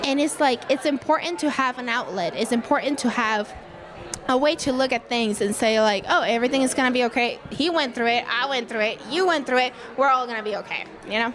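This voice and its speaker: Amid noticeable background noise, a woman speaks at a high pitch and a fairly quick pace with ordinary pitch variation. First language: not English. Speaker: podcaster. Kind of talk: casual interview. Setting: live event.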